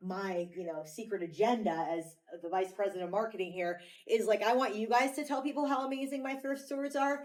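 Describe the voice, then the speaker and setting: Fairly quick speech from a woman, with noticeable noise in the background. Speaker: vice president of marketing at a thrift store chain, podcast host. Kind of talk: casual talk, welcoming a tour group. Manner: loud; animated.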